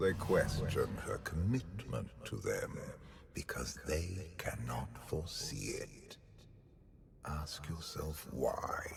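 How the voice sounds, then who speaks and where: A man puts on a character voice at a very slow pace. Clear background noise runs behind him. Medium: video game. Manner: calm, persuasive, condescending.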